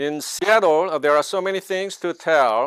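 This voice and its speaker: A man with a Korean accent speaks with ordinary pitch variation. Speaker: network marketing distributor. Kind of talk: seminar presentation. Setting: online seminar.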